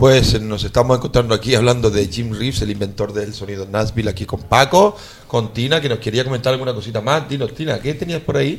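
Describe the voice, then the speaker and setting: A man's medium-pitched voice at a very fast pace with hardly any pauses and ordinary pitch variation, over noticeable background noise. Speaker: radio host. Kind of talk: casual chat. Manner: animated.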